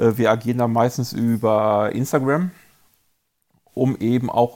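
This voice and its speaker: The background is silent and the recording very clean. A man is the one talking. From Germany, Paderborn. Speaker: mountain bike racer and race series organizer. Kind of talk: casual chat.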